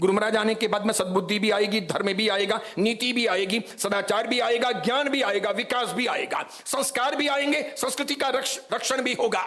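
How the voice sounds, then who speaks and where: A man speaks at an extremely high pitch in a raised, projected voice. Noticeable background noise and audible room echo fill the recording. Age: 60s. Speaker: Jain monk and preacher. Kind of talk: sermon. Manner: forceful, outspoken.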